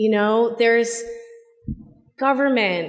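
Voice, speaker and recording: A male-free clip: one woman, in an American accent. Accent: slight Boston accent, shows when relaxed. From Boston. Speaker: corporate public policy executive. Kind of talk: panel discussion.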